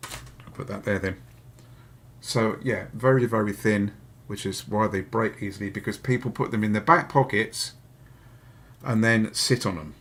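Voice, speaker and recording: A man with a Hampshire accent speaks at a moderate pace in a fairly low voice and a relaxed tone, with ordinary pitch variation and long, frequent pauses. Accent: Hampshire accent, comes through somewhat. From southern England, Hampshire. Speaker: electronics repair youtuber. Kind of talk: live repair stream tutorial. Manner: casual, relaxed.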